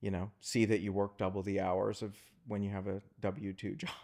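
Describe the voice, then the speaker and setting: A man's quiet, fairly low-pitched voice in an American accent carries fairly even intonation on a very clean recording with a silent background. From Arizona (Tucson). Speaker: school owner and real estate investor. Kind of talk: interview conversation. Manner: quiet, reserved.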